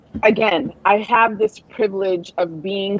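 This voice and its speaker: Spoken at a very slow pace, the voice carries a slight Nigerian accent. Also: woman. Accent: weak Nigerian. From Nigerian heritage. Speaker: writer and mental health advocate. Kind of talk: interview conversation. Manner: halting, many repetitions.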